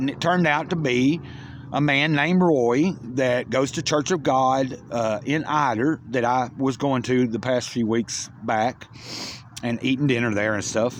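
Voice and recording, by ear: A man talks at a fairly slow pace. His pitch is medium, with ordinary variation.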